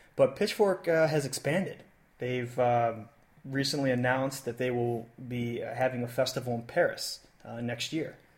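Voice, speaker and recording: Somewhat breathy, a man talks at a moderate pace. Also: medium pitch for a man, ordinary pitch variation. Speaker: podcast host. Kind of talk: casual chat. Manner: halting, many filler words.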